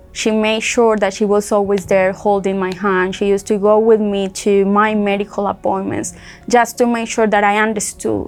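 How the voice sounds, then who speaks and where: A woman speaks with a Spanish accent at a medium pitch. Her pace is moderate. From Colombia. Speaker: accident survivor, rehab client. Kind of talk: testimony.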